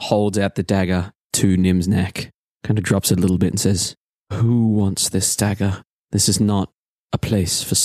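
Here is an unforced reading voice. Quiet surrounds it.

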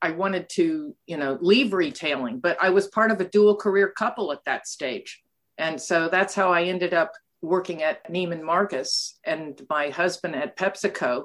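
In a plain, everyday voice, a woman at medium pitch speaks at a moderate pace with lively intonation. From United States. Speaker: academic and board advisor. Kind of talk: interview.

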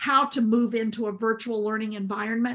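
A woman speaks at a fairly high pitch in a Southern US accent. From US South, rural South Carolina. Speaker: school administrator and education leader. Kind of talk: interview.

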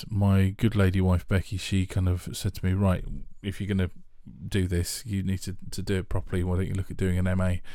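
In a London accent, a man speaks with a very deep, low pitch and flat, monotone intonation over a very clean recording with a silent background. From Northwest London, England. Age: 40s. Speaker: podcast host. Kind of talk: casual chat. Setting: home studio. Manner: halting.

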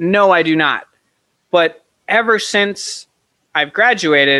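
A man talks with an ordinary speaking voice. His pitch is fairly high for a man, with ordinary pitch variation. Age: 20s. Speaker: author and filmmaker. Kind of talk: casual chat.

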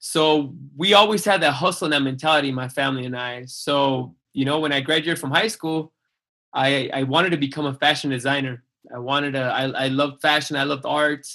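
A bright, sharp voice at a fairly quick pace with ordinary pitch variation. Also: man, fairly high pitch for a man. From Mexican-US border, Calexico (raised there after age six, Mexico City before). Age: 40s. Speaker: chef and restaurant owner. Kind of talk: casual interview chat. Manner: halting, many restarts.

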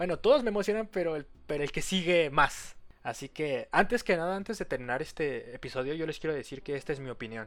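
Very fast speech from a man with a fairly high pitch and lively intonation, recorded very cleanly over a silent background. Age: 20s. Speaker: podcast host. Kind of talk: casual solo monologue.

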